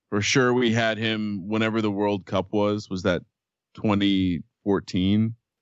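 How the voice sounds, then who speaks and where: With an American accent, a man speaks at a fairly slow pace in a fairly low pitch, his intonation monotone and flat. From New Jersey, Fanwood. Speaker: sports gambling podcaster. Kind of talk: casual chat.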